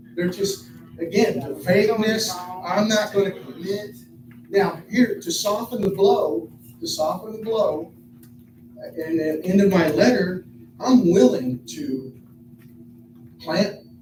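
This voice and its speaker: A man's high-pitched voice with lively intonation, a very slow pace and long, frequent pauses over noticeable background noise. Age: 60s. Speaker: resident speaking at city council meeting. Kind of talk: public comment. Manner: halting, repetitive.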